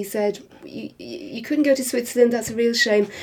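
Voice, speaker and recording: Speaking at a fairly quick pace, a woman with a Welsh accent has a dark, mellow tone and ordinary pitch variation. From Wales, Swansea area. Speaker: niece of a film star. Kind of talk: interview.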